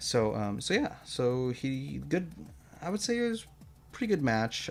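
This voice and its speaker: Music plays in the background as a man speaks at a medium pitch and a fairly slow pace. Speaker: vtuber streamer. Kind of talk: casual stream commentary review. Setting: live stream. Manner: halting, many fillers and repetitions.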